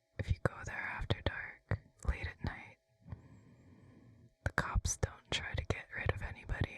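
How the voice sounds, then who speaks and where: Someone is whispering against noticeable background noise. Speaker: ASMR artist. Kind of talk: ASMR whisper vlog. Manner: soft whispered.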